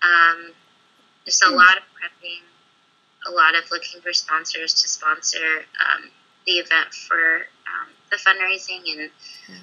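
A woman with an American accent speaks at a moderate pace in a fairly low, monotone, flat voice. Her loudness swings widely, and she takes long, frequent pauses. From California. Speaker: aspiring performer and model, university student. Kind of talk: casual interview chat.

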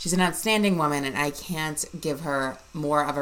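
Noticeable background noise sits under speech whose pitch shifts in an ordinary way. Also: woman. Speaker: podcast host. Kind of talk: podcast intro and outro. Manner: enthusiastic.

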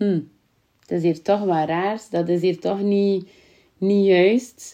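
In a West Flemish accent, the speaker's voice has a dark, mellow tone and ordinary pitch variation. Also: woman. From Belgium, West Flanders (Kortemark). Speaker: visibility coach, podcaster. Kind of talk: personal storytelling monologue.

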